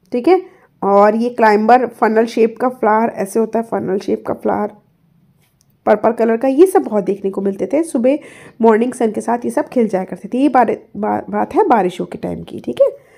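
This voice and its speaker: Speaking at a moderate pace, a woman with a fairly high pitch has a dark, mellow tone, vocal fry, and ordinary pitch variation. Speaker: English tutor. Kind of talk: lecture.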